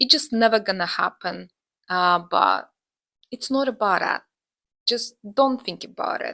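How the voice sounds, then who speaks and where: With a non-native accent, a woman speaks at a fairly slow pace and fairly high pitch, her tone bright and sharp with vocal fry, ordinary pitch variation and long, frequent pauses, in a dry, close sound with no echo. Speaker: booktuber. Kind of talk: casual vlog talk to camera. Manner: hesitant, many filler sounds.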